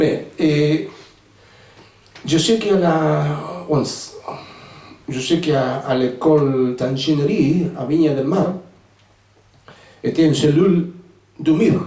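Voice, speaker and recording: A man with a Spanish accent talks at a very slow pace, leaving long, frequent pauses, with ordinary pitch variation. Audible room echo and noticeable background noise surround him. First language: Spanish (speaking French). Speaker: author, former navy sailor. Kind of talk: book presentation Q&A. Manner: halting.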